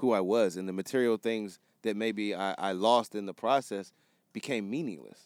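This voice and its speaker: A man with an ordinary speaking voice, medium pitch and ordinary pitch variation talks at a moderate pace in a very clean recording with a silent background and a dry, close sound with no echo. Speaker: music producer and photographer, podcast co-host. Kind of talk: casual chat. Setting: studio.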